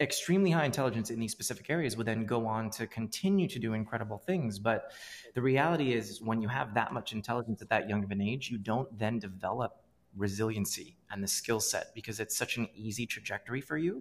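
Talking at a very fast pace, a man uses a medium pitch. His pitch variation is ordinary. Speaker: podcast host and startup founder. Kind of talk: casual interview.

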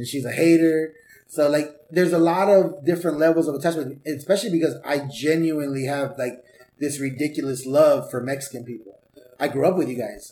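A man speaks with an American accent at a fairly quick pace. It is an unremarkable speaking voice with a fairly high pitch. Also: ordinary pitch variation. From Southeast Los Angeles, California. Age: 40s. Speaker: stand-up comedian and life coach. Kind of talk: casual chat. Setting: home garage.

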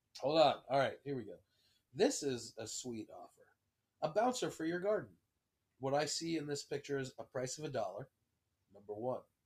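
This man speaks at a moderate pace in a somewhat breathy, fairly high voice, with an animated tone, lively intonation, big swings in loudness, and long, frequent pauses. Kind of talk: casual chat.

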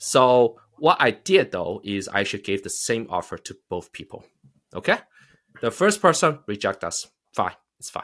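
The loudness swings widely and the pitch swings very widely. The recording is very clean, with a silent background. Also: man, medium pitch for a man, moderate pace. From China. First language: Chinese.

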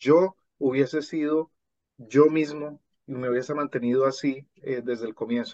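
A man with a fairly high-pitched voice and a dark, mellow tone talks at a fairly slow pace with fairly even intonation. The sound is dry and close with no echo, over a quiet background. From Colombia. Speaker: language teacher and author. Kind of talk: interview conversation.

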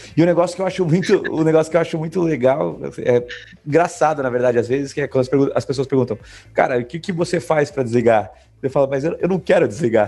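Speaking very fast, a man uses a dark, mellow tone with ordinary pitch variation. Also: fairly high pitch for a man. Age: 30s. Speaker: gaming company founder. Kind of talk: casual interview chat.

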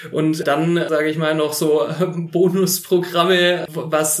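A man's fairly high, monotone voice with flat intonation, audible room echo and noticeable background noise. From Filderstadt, Baden-Württemberg, Germany. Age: 30s. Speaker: state politician. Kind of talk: interview. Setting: on site in the kindergarten.

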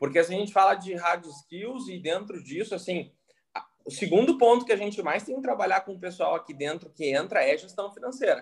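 Lively intonation and big swings in loudness mark this man's high-pitched voice. He talks at a fairly quick pace. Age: 20s. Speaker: entrepreneur. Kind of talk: casual interview.

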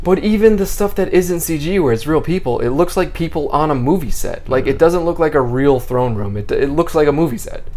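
A high-pitched man with lively intonation, talking fairly quickly with hardly any pauses, amid noticeable background noise and audible room echo. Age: 30s. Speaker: podcast host. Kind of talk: casual chat.

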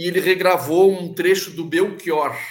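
Pitch swings very widely in this voice. It belongs to a man who talks high. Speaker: psychologist and local politician. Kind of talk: casual interview chat. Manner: halting, many repetitions.

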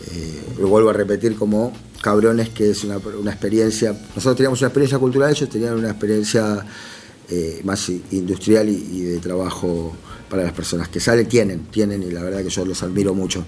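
A man talks at a fairly quick pace with a fairly low pitch. There is noticeable background noise. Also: ordinary pitch variation. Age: 30s. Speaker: former prisoner and prison culture workshop organizer. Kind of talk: interview conversation.

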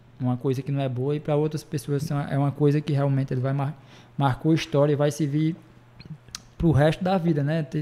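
A man with a northeastern Brazilian accent, a fairly high pitch and a dark, mellow tone, speaking at a very fast pace with monotone, flat intonation and long, frequent pauses. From Ceará, Brazil. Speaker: bar owner and show promoter. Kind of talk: casual chat.

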